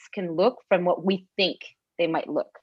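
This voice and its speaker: A woman speaks with a slight French Canadian accent. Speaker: podcast host and CrossFit coach. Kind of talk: casual chat.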